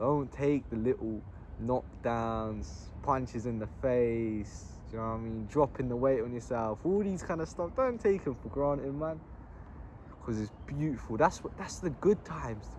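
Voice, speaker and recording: A man with a southern English accent speaks with lively intonation. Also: medium pitch for a man, moderate pace. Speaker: vlogger. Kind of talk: casual monologue. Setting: outdoors in a park. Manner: animated.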